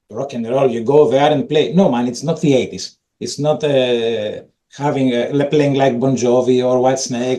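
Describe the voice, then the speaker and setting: Speaking at a moderate pace with a Greek accent, a man uses a dark, mellow tone and fairly even intonation. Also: medium pitch for a man. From Greece. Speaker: metal drummer. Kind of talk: casual interview.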